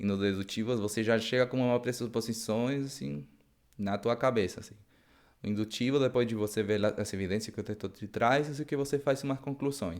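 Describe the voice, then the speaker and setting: Recorded very cleanly against a silent background, a man speaks at a fairly quick pace in a medium pitch with ordinary pitch variation. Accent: Spanish. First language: Spanish (speaking Portuguese). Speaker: Bible study teacher. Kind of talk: lecture. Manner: halting, many repetitions; casual, improvised.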